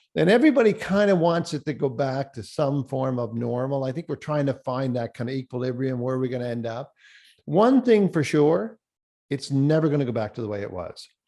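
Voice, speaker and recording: A man with a Cape Breton accent talks at a fairly quick pace, medium in pitch, with a dark, mellow tone. His intonation is lively, and the recording is very clean with a silent background. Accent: Cape Breton Canadian. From Cape Breton, Nova Scotia, Canada. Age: 60s. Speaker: professional speaker. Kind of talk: keynote presentation. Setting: virtual forum. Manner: animated.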